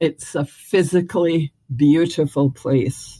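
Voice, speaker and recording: A woman speaks in a Scottish accent with a fairly low pitch and ordinary pitch variation. Her tone is dark and mellow, and the sound is dry and close with no echo. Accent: Scottish, retained. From Scotland. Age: 70s. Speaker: former mayor and educator. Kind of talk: interview. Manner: hesitant, many fillers.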